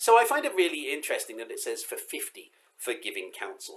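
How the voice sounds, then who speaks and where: Someone speaks at a moderate pace with an English accent. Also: man. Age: 40s. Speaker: rabbi. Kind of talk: pre-Sabbath congregational message. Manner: casual, hesitant with fillers.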